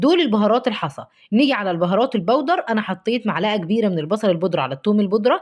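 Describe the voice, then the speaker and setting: Against a quiet background, a woman with an Egyptian accent speaks with lively intonation. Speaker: cooking vlogger. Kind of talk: cooking tutorial. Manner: warm, chatty.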